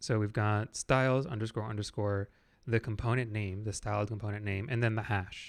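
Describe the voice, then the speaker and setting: Speaking at a fairly quick pace, a man uses a fairly low pitch and fairly even intonation. The recording is very clean, with a silent background. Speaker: web developer streaming coding. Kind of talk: live coding stream, casual chat. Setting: live stream at PC. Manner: casual, with fillers; quiet.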